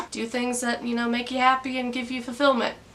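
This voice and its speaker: A woman speaks at a high pitch. There is noticeable background noise behind her. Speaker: YouTube vlogger. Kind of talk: casual vlog monologue. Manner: casual, conversational.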